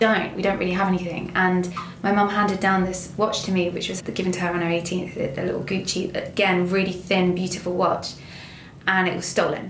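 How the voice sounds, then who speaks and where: A woman at a medium pitch and fairly quick pace, monotone and flat in intonation, over noticeable background noise. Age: 30s. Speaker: actor. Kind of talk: casual chat. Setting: studio.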